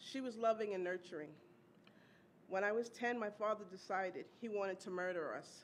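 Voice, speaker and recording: A normal speaking voice from a woman, medium in pitch, fairly even in intonation and fairly quick in pace. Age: 60s. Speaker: domestic violence survivor, teaching artist. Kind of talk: testimony speech. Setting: awards luncheon stage.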